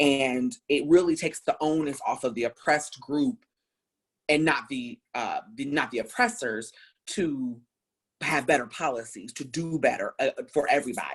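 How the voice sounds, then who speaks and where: This woman's voice is very deep and low, with an animated tone and lively intonation at a moderate pace. The recording is very clean, with a silent background. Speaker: anti-racism speaker. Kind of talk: panel discussion. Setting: live stream. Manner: loud.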